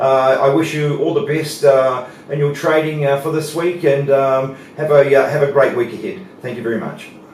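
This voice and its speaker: The speech moves at a moderate pace with fairly even intonation. Room echo and noticeable background noise can be heard. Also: man, fairly high pitch for a man. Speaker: market analyst. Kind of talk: market analysis presentation. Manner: hesitant, many fillers.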